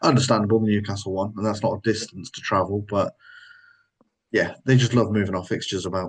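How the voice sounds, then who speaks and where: With a Sunderland accent, a man with a fairly low pitch speaks at a very fast pace, somewhat breathy, with fairly even intonation. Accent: Sunderland (Mackem) English. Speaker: football podcast co-host. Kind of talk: casual chat.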